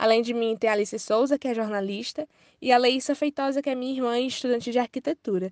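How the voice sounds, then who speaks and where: Against a quiet background, a woman with a high pitch talks very fast with fairly even intonation, the sound dry and close with no echo. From Ceará, Brazil. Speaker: journalist and researcher. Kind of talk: interview answers.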